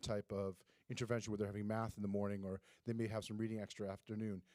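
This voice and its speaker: This man's voice sits fairly low, with a dark, mellow tone and a dry, close sound that carries no echo. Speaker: school administrator. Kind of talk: presentation at board meeting. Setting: school board meeting. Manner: fast.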